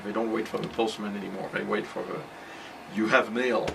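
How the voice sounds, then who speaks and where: A man with a slight French accent, medium pitch, ordinary pitch variation and a fairly quick pace, amid audible room echo and noticeable background noise. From France. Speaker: computer repair shop owner. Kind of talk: interview. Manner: hesitant with fillers.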